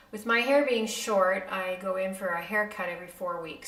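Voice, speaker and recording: Audible room echo around a woman's voice at a moderate pace. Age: 60s. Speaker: beauty vlogger, makeup artist. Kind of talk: casual vlog talk to camera. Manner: many fillers (um, uh).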